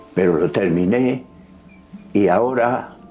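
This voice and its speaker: Noticeable background noise sits behind a man who speaks at a very slow pace with lively intonation. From Spain, Valladolid (Castile). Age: 90s. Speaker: retired chemistry teacher and first-time novelist. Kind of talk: interview testimony. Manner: halting.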